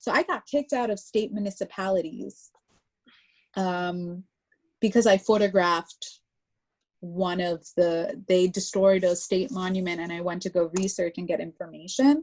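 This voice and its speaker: A normal speaking voice from a woman with an American accent, medium pitch, ordinary pitch variation, moderate pace. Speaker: artist. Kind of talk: interview conversation. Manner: casual, filler-heavy speech with many likes.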